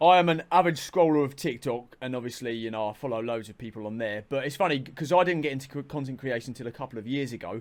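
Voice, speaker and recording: A man at a very fast pace with hardly any pauses and big swings in loudness, on a very clean recording with a silent background. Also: medium pitch for a man, ordinary pitch variation. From southern England. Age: 20s. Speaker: content creator. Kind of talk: casual chat.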